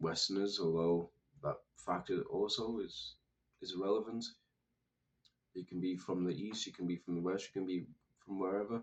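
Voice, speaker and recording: With a British accent and a fairly low pitch, a man speaks at a moderate pace, keeping his intonation fairly even and taking long, frequent pauses. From United Kingdom. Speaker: political commentator. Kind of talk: monologue commentary.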